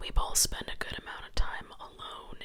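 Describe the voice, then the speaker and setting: A woman whispers at a fairly slow pace. Background noise is noticeable. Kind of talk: reading a Reddit story aloud. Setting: home recording with scratching noises in the background. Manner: whispered.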